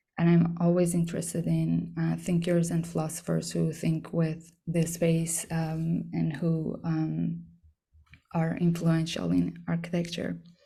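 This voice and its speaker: The loudness stays very even throughout. There is audible room echo and a fairly slow pace. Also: woman. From Iran. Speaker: artist. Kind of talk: artist talk. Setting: talk to an audience. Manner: hesitant, many fillers.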